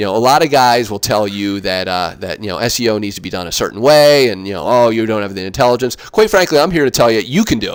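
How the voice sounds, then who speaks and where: Lively intonation marks this man's medium-pitched voice. He talks at a very fast pace with hardly any pauses. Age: 40s. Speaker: digital marketing consultant. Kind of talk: webinar presentation.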